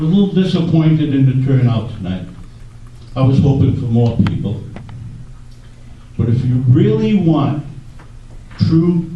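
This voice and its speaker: Over noticeable background noise and audible room echo, a man talks fairly slowly at a medium pitch with ordinary pitch variation. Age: 70s. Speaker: audience member and letter writer. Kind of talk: public forum audience question.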